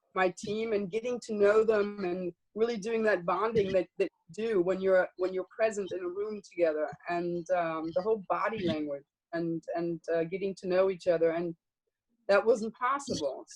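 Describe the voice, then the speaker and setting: A woman speaks at medium pitch with ordinary pitch variation and a moderate pace. The sound is dry and close, with no echo. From German-American, American father and German mother. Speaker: payments banking executive. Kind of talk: virtual panel interview. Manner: hesitant, many fillers.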